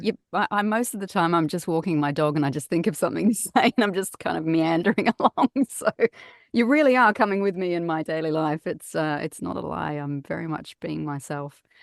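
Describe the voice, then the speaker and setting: A woman with an Australian accent speaks fairly quickly at a fairly low pitch with lively intonation. The sound is dry and close, with no echo. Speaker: voice over artist and actor. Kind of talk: podcast interview answer. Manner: down-to-earth, casual.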